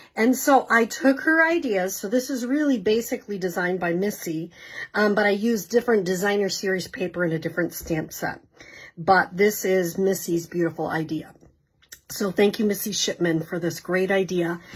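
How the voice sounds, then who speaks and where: A woman speaks at a moderate pace with a somewhat breathy voice. Her pitch sits in the medium range, and her intonation is lively. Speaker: craft product demonstrator. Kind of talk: live craft tutorial. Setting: live video stream. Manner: casual, with many fillers.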